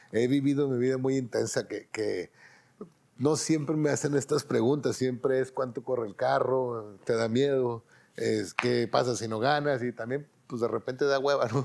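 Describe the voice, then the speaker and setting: A man with a Mexican accent, fairly even intonation, a moderate pace, and a quiet background. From Mexico. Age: 50s. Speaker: racing driver; interviewee. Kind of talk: interview monologue. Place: home room.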